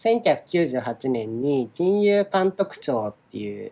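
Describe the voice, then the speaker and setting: A man is speaking. His pitch swings very widely. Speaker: podcast co-host, software engineer and former government official. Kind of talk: casual chat. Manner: drawn-out sentence endings.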